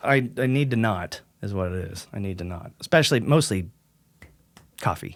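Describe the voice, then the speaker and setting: A man with a fairly low pitch talks at a moderate pace, his intonation lively. Long, frequent pauses break up the speech on a very clean recording with a silent background. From Southern California, North County San Diego. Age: 40s. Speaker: extreme metal vocalist. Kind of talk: casual chat. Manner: halting, many restarts.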